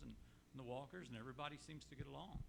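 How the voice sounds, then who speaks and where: A man is speaking. Audible echo fills the room. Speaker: resident. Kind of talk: public comment at town hall. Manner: loud.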